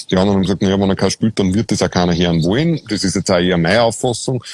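A man with an Austrian accent, fairly low-pitched, talking very fast with ordinary pitch variation, in a dry, close sound with no echo. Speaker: podcast host. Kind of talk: casual conversation. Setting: outdoors in a castle courtyard, video stream.

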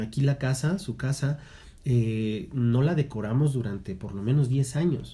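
This man has a medium pitch and a dark, mellow tone that is somewhat breathy, with ordinary pitch variation. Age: 30s. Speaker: podcast co-host, theatre teacher. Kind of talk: casual chat.

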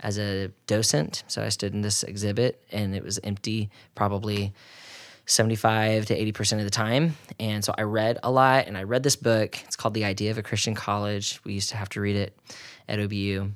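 A man with an American accent speaks in a normal speaking voice, fairly low in pitch, at a fairly quick pace with fairly even intonation. The recording is very clean with a silent background. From Oklahoma. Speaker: marriage and family therapist. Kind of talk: casual interview.

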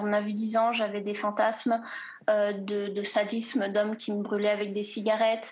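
Noticeable noise sits behind this recording. A woman speaks at a fairly high pitch and a fairly slow pace. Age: 20s. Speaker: student. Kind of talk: testimony. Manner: halting.

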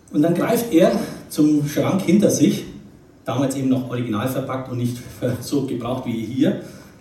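A man with a slight Franconian accent speaks at a fairly quick pace and a fairly high pitch. The recording carries audible room echo and noticeable background noise. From Nuremberg, Franconia, Germany. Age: 50s. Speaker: retired investment banker giving a life-story talk. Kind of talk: testimony talk.

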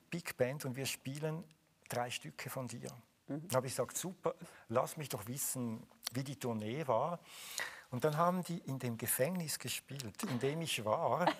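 A man speaks at a fairly slow pace with a medium pitch and somewhat breathy voice. His pitch varies in an ordinary way, with long, frequent pauses. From Switzerland (Zurich). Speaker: musician and composer. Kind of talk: live interview.

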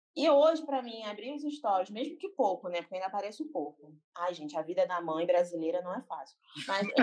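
A woman talks fairly quickly. She swings her pitch very widely. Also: medium pitch for a woman. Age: 20s. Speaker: graphic designer. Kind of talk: casual chat. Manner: animated.

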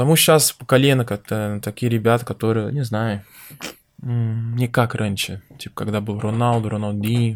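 A man's medium-pitched voice with a Portuguese accent, at a moderate pace with fairly even intonation, in a very clean recording with a silent background. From Brazil, Minas Gerais. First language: Portuguese (speaking Russian). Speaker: professional football goalkeeper. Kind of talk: casual interview chat. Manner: halting.

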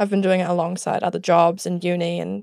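A woman with a dark, mellow tone speaks at a moderate pace in a very clean recording with a silent background. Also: dry, close sound with no echo. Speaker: podcast co-host, small business owner. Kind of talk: casual chat.

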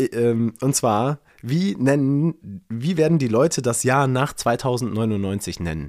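Very slow delivery with lively intonation. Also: man, medium pitch for a man. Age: 30s. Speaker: podcast co-host. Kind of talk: casual chat.

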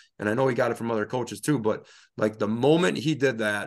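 A man with a Wisconsin accent talks at a fairly quick pace with ordinary pitch variation. The background is quiet. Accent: Upper Midwest (Wisconsin). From Northeast Wisconsin, rural. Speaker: high school football coach and referee. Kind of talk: casual interview.

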